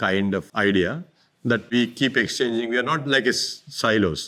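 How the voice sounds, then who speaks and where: A man's medium-pitched voice, bright and sharp in tone, with ordinary pitch variation, on a very clean recording with a silent background. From India, Karnataka. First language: Kannada. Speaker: artist. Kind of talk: interview about his art. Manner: halting.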